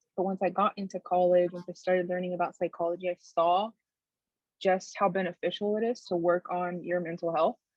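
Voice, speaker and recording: A woman speaks fairly quickly in a Spanish accent at a medium pitch. Her intonation is monotone and flat. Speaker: therapist. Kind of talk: casual interview.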